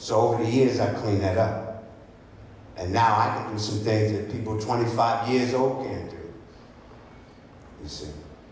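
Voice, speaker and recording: A man talks at a fairly slow pace. Audible room echo and noticeable background noise surround him. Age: 70s. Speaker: health practitioner. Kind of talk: talk to an audience. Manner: animated.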